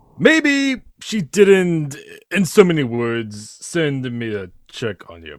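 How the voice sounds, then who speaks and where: At a very slow pace, a man does a put-on character voice with a fairly high pitch, very wide pitch swings and big swings in loudness. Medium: audio drama. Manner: hesitant, filler-heavy, smarmy.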